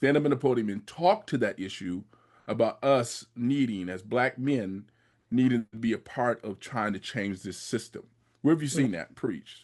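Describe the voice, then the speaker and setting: A man with a normal speaking voice at medium pitch, ordinary pitch variation and a quiet background. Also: moderate pace. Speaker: podcast host. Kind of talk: podcast interview question.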